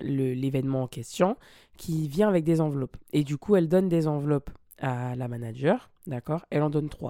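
A woman's very deep, low voice, dark and mellow in tone, with ordinary pitch variation at a moderate pace. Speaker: podcaster and former singer. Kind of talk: personal storytelling monologue. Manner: casual, with many hesitations.

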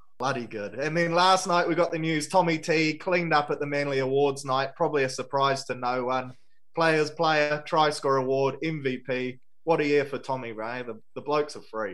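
A man speaks with a New Zealand accent. His voice is fairly high, with ordinary pitch variation. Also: moderate pace. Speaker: sports podcast host. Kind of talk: casual sports chat.

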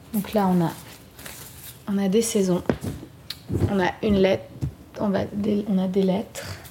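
Against noticeable background noise, a woman speaks at a medium pitch with fairly even intonation. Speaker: singer-songwriter and podcast host. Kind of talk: casual chat and songwriting session. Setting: home studio in Montreal.

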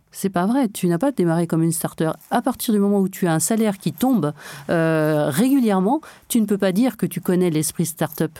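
Speaking at a fairly quick pace, a woman has a dark, mellow tone at medium pitch. Her intonation is lively, and her loudness stays very even. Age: 50s. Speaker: cybersecurity company founder, former secret agent. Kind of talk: interview.

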